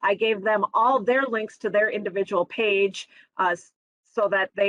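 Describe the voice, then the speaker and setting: Her pitch sits in the medium range. This woman shows ordinary pitch variation. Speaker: college instructor. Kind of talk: Q&A; webinar presentation. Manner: fast.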